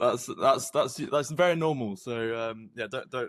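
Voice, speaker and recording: A man talks at a moderate pace with lively intonation, in a plain, everyday voice. The background is quiet. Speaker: podcast host, grandson. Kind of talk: podcast interview questions.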